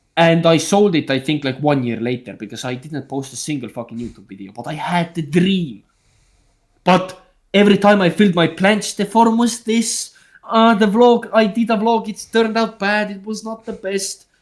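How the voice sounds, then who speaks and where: The speaker has an Estonian accent and an animated tone. The intonation is lively. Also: man, high pitch for a man, moderate pace, big swings in loudness. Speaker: calisthenics YouTuber. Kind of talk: casual chat. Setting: group video call livestream.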